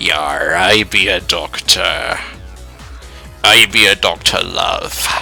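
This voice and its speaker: With clear music playing behind him, a man does a put-on character voice at a very slow pace. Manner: playful, mock-pirate.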